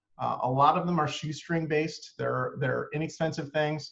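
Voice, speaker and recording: A man's fairly high, somewhat breathy voice at a fairly quick pace, with fairly even intonation. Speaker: marketing agency owner presenting a webinar. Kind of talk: webinar presentation. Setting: online webinar. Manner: fast; many fillers, um and uh.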